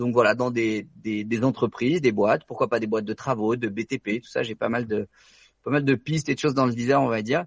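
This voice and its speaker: A man's plain, everyday voice at a medium pitch, fairly quick and fairly even in intonation, with big swings in loudness against a quiet background. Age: 20s. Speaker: doctor and real estate investor. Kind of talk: interview.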